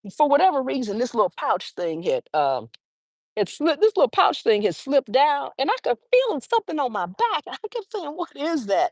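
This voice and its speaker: A woman speaks with high pitch, very wide pitch swings and an animated tone at a fairly quick pace. The sound is dry and close with no echo, against a quiet background. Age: 60s. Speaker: lifestyle vlogger hosting a live stream. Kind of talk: casual live-stream chat reading viewer comments. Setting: outdoors on a park bench during a walk.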